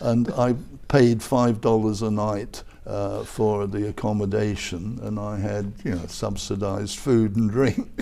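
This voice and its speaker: A man with an English accent speaks at a fairly slow pace in a dark, mellow, fairly low voice. His intonation is fairly even, and audible room echo surrounds him. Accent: English, somewhat milder. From southern England (Croydon, London). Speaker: retired professor and advertising executive. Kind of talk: interview. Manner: halting, many fillers.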